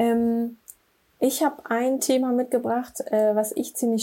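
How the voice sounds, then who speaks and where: Her tone dark and mellow, a woman speaks very slowly at a fairly high pitch with fairly even intonation. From Braunschweig, Germany. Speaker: digital product manager. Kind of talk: casual chat.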